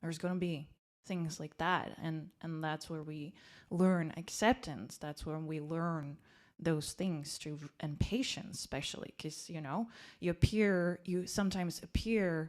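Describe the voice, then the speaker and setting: A woman with a Slovak accent speaks at a fairly slow pace with a fairly low pitch, ordinary pitch variation and big swings in loudness. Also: very clean recording, silent background. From Slovakia. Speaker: life coach. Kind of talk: podcast interview.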